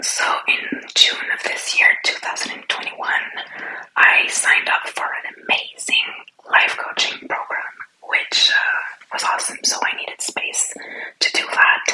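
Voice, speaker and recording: A woman is whispering at a fairly slow pace. Her loudness swings widely. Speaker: entrepreneur and aspiring life coach. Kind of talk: ASMR studio tour. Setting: at home in her studio/office room.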